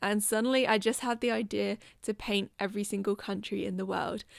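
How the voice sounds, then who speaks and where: In a British accent, a woman speaks at a medium pitch and a fairly quick pace on a very clean recording with a silent background. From UK. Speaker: artist, video creator. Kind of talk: casual vlog narration.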